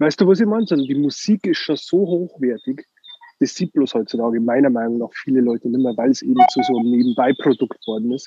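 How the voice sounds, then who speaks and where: With a Bavarian accent, a man talks at a very fast pace, medium in pitch and lively in intonation. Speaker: record label owner. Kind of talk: casual chat. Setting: phone call.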